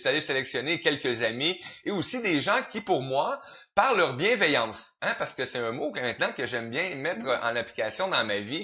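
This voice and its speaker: A fairly high-pitched man with a Quebec accent, at a moderate pace, with very wide pitch swings, over noticeable background noise. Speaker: interview show host. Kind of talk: interview.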